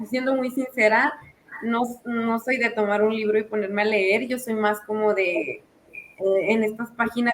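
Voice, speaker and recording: At a fairly slow pace, a woman speaks in a monotone, flat intonation with a fairly high pitch. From Mexico. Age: 20s. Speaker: data scientist. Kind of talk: casual chat.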